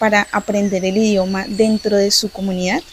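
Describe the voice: A woman talks at a moderate pace. Her tone is slightly mellow.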